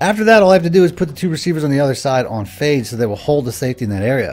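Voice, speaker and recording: A man speaks at a very fast pace from a medium pitch, with very wide pitch swings. Noticeable background noise runs underneath. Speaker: gaming YouTuber. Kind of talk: gameplay commentary and tutorial. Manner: animated.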